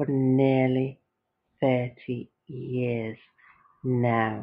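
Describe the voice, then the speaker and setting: Flat and monotone, a woman with a British accent speaks at a very deep, low pitch. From United Kingdom. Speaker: podcaster. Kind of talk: casual podcast talk.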